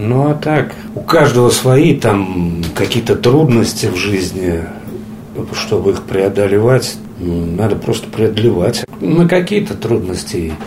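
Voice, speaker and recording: A man speaks at a very slow pace with very wide pitch swings, amid noticeable background noise and audible room echo. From Russia, Pskov. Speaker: wheelchair athlete, orienteering champion. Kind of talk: interview. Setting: at home. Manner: halting, many fillers.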